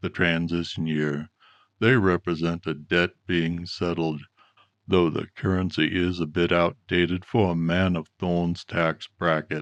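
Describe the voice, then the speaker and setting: In a put-on character voice, a man speaks at a very deep, low pitch with monotone, flat intonation. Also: moderate pace, quiet background. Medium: read story. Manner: calm, polished, deliberate.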